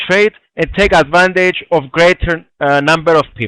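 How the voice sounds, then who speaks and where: A man's high-pitched voice with a bright, sharp tone, ordinary pitch variation, a moderate pace, and a dry, close sound with no echo. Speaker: trading instructor. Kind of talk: webinar tutorial.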